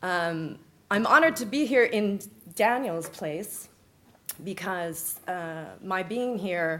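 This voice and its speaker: Audible room echo surrounds a woman with an American accent whose fairly low pitch shows ordinary variation. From California, US (Bay Area). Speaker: conference speaker, EU media project manager. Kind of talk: conference presentation. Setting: conference stage with audience. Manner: energetic, punchy.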